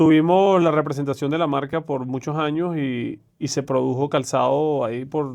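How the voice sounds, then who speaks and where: Speaking with a Venezuelan accent, a man uses a fairly high pitch and fairly even intonation, with hardly any pauses. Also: moderate pace. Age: 40s. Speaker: private banker, investment manager. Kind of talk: podcast interview.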